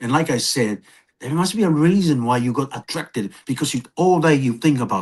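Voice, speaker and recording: Lively intonation marks this man's fairly high-pitched voice. He talks at a fairly quick pace over a quiet background. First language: not English. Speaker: podcast co-presenter. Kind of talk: podcast conversation.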